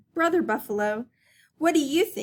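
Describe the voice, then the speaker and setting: A raspy, put-on character voice from a woman. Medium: read story. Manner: gentle, earnest.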